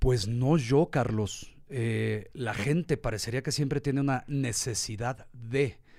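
A man speaks very slowly at a medium pitch, with hardly any pauses. The recording is very clean, with a silent background. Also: ordinary pitch variation. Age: 40s. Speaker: marketer, businessman and motorcycle tourer. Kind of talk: casual interview. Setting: studio.

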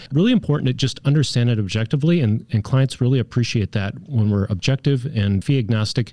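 A man with a medium pitch and a dark, mellow tone speaks very fast with ordinary pitch variation, recorded dry and close with no echo. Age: 40s or 50s. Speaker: wealth manager. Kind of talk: radio interview.

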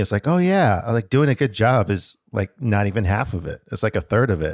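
A man with an unremarkable speaking voice talks at a fairly quick pace in a fairly low pitch, his intonation lively, the sound dry and close with no echo on a very clean recording with a silent background. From US, born in Alaska. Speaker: podcast co-host. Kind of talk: casual chat.

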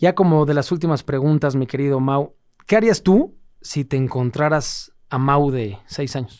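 Speaking at a fairly slow pace, a man has a plain, everyday voice pitched fairly high, with ordinary pitch variation. The recording is very clean and the background silent. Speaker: podcast host. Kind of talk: casual interview chat.

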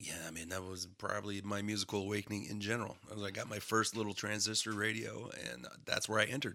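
Over a very clean recording with a silent background, a man talks at a very fast pace with hardly any pauses, his tone bright and sharp, his intonation fairly even, and vocal fry in his voice. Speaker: podcast co-host. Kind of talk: casual chat.

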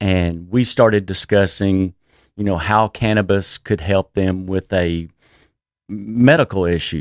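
Someone with a Texan accent speaks at a very slow pace. The recording is very clean, with a silent background and a dry, close sound with no echo. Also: man. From Texas. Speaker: cannabis business executive. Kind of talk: interview. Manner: halting.

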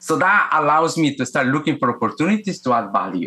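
This man talks very fast at a fairly high pitch. His tone is bright and sharp, and his intonation lively. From Guatemala. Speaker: executive coach. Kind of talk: interview. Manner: halting, many repetitions.

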